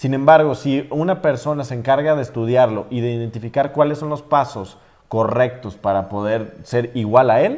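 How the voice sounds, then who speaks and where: In an unremarkable speaking voice, a man talks at a fairly quick pace with a medium pitch and ordinary pitch variation. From Mexico, Jalisco (San Juan de los Lagos). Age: 20s. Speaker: social media influencer. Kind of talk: interview podcast.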